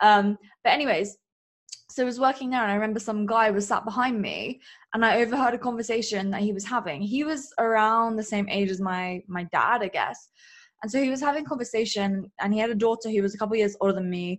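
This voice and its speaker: Very fast, animated talk from a woman with a fairly high pitch and ordinary pitch variation. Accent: English. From England. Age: 20s. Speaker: business coach and podcaster. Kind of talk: interview.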